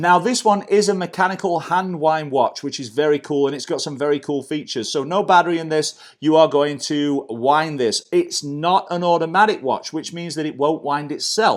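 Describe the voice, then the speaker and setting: In a British accent, a man with fairly high pitch speaks at a moderate pace with an enthusiastic tone and ordinary pitch variation. The recording is very clean, with a silent background. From UK. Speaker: watch reviewer, YouTuber. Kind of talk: product review.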